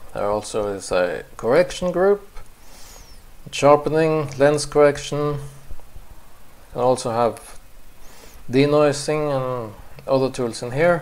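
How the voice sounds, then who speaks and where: Speaking at a fairly slow pace with long, frequent pauses, a man with a non-native accent has a fairly high pitch and ordinary pitch variation. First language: not English. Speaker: photographer. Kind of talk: software tutorial narration.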